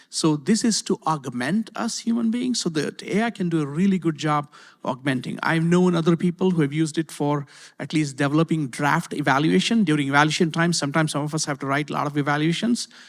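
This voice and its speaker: Very fast male speech, fairly high in pitch, on a very clean recording with a silent background. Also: ordinary pitch variation. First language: not English. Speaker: university IT executive. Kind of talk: panel discussion. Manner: hesitant, many fillers and repeats.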